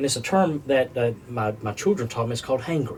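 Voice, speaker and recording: Against noticeable background noise, a man with a medium pitch talks at a very fast pace. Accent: North Carolina. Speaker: food service business developer. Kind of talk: podcast interview.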